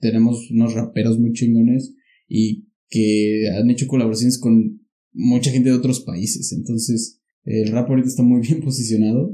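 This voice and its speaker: A man's dark, mellow voice at a medium pitch, with fairly even intonation and a moderate pace. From Mexico, Pachuca (Hidalgo). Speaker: podcaster and guest. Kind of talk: casual chat.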